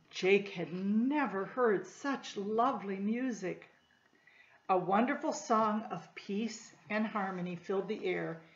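A woman speaks at a very slow pace, her voice somewhat breathy and her pitch varying in an ordinary way. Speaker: storytime reader. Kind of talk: reading a children's story aloud. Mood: gentle, warm storytelling. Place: home room. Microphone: webcam.

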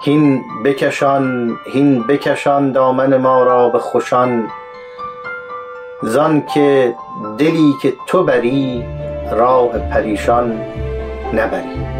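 Clear music plays in the background as a man speaks at a very slow pace. He leaves long, frequent pauses. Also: medium pitch for a man, fairly even intonation. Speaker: poetry reciter. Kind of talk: poetry reading. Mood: calm, measured. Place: studio.

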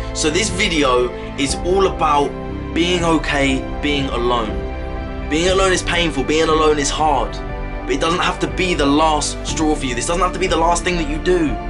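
A man talks at a moderate pace. Noticeable background noise runs underneath. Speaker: motivational speaker. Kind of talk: motivational talk to camera. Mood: warm, encouraging. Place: home room. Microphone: phone near.

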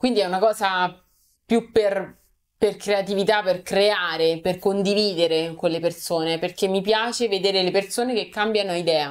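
In an unremarkable speaking voice, a woman at medium pitch talks at a moderate pace with fairly even intonation against a quiet background. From Rome, Italy; Italy. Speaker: content creator. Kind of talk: casual interview. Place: studio.

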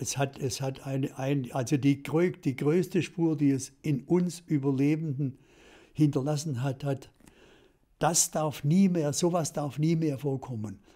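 Over a quiet background, a man speaks at a fairly slow pace in a dark, mellow tone, somewhat breathy, with fairly even intonation. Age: 80s+. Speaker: television director. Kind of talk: interview answer. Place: home room. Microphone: studio mic.

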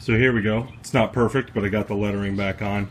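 An ordinary speaking voice with fairly even intonation comes through over light background noise. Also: man. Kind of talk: casual vlog chat. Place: open country. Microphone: phone near.

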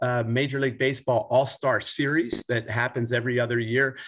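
Over a quiet background, a man with a Philadelphia accent talks at a moderate pace. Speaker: sports team mascot performer. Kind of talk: casual interview. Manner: animated. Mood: cheerful storytelling. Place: home room. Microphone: video call.

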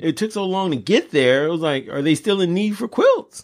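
A man speaks in a high pitch with a Los Angeles accent. The recording is very clean with a silent background. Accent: Los Angeles American English. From South Central Los Angeles. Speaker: podcast co-host. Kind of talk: casual chat.

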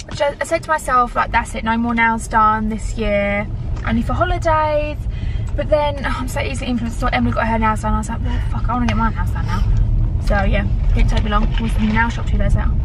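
Over noticeable background noise, a woman talks at a very fast pace, the sound dry with no echo. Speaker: vlogger. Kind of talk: casual vlog chat. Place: car. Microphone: phone near.

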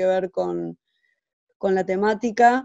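In a dry recording with no echo and a quiet background, a woman speaks at a fairly slow pace with a dark, mellow tone. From Argentina. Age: 50s. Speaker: illustrator and cultural center director. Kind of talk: interview monologue. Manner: halting, many repetitions. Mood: calm, reflective. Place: home room. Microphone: webcam.

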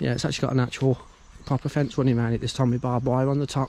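A man's voice in a dry sound with no echo. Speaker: urban explorer vlogger. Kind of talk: casual vlog commentary. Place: open country. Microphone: phone near.

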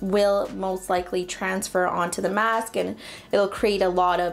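This is a woman's voice. She speaks at a fairly slow pace. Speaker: beauty vlogger. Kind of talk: tutorial. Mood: relaxed, friendly.

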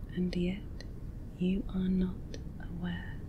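A woman talks at a very slow pace. Noticeable background noise runs behind her. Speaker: hypnosis and relaxation video creator. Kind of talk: guided hypnosis script for sleep.

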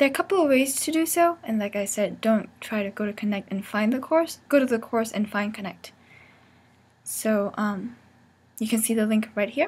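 A woman speaks with lively intonation, a fairly high pitch and a somewhat breathy quality. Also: moderate pace. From Vietnam. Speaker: teaching assistant, MBA student. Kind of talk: course tutorial.

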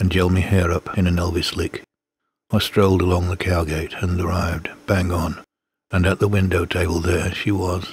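A man speaks with an English accent at a very deep, low pitch. His delivery is monotone and flat, and somewhat breathy. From Britain. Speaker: poetry reader. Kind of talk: reading aloud.

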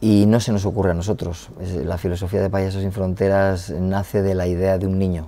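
At a moderate pace, a man with a very deep, low voice speaks in a dark, mellow tone with fairly even intonation. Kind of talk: interview answer. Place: hall. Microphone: lapel.

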